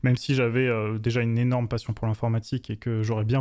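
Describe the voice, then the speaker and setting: This man's voice has a dark, mellow tone and a medium pitch, with fairly even intonation. He talks at a very fast pace, and the sound is dry and close with no echo. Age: 20s. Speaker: web developer and YouTuber. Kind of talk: interview. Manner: hesitant, many fillers.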